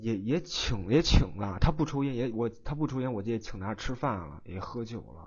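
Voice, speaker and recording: With hardly any pauses, a man of medium pitch talks at a moderate pace, somewhat breathy, with lively intonation and big swings in loudness. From Shandong, Tai'an. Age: 20s. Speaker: caller, custom furniture installer. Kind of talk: advice call-in. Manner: halting, repetitive stammering.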